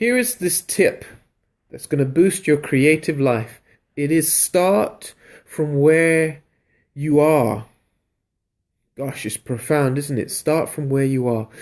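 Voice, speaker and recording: Very slow and broken by long, frequent pauses, a man with a London accent and fairly high pitch speaks with lively intonation in a very clean recording with a silent background. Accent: British accent, London. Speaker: creativity coach, live streamer. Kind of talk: live stream talk to viewers. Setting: live video stream. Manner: animated.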